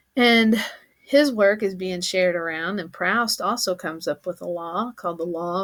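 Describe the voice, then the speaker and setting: A woman at medium pitch with a Kentucky accent, ordinary pitch variation and a moderate pace. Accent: Southern US (Kentucky). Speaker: teacher. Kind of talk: lecture. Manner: casual, conversational.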